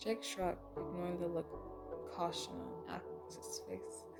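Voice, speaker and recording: The voice has a calm tone, with music playing in the background. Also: woman. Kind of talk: bedtime story reading. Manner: calm, immersive, sometimes whispering.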